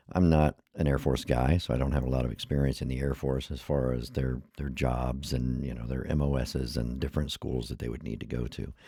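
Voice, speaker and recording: A man with a very deep, low pitch speaks in a monotone, flat way with hardly any pauses over noticeable background noise. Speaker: YouTube commentator. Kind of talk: casual commentary. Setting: screen share video. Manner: halting, stumbling.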